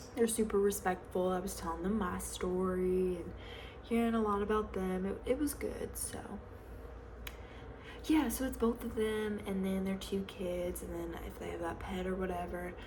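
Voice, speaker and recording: A woman with a Southern US accent at a moderate pace, over noticeable background noise. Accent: Southern American. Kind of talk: ASMR roleplay, casual gossip with a friend. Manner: chatty, friendly.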